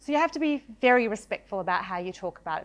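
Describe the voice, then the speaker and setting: Over a silent background on a very clean recording, a woman talks at a very fast pace with lively intonation. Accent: Australian. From Australia (Victoria, Shepparton). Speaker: storyteller, broadcaster. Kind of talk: storytelling talk.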